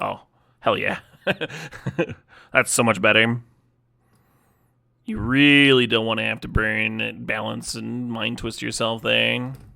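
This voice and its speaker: Very slowly and with long, frequent pauses, a man speaks on a very clean recording with a silent background. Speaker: streamer playing card games. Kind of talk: live stream chat with gameplay. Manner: sarcastic-sounding delivery.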